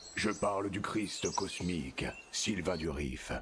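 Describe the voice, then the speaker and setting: A man does a cartoonish character voice with a very deep, low pitch. He speaks at a fairly slow pace, with clear background noise behind him. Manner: solemn, formal.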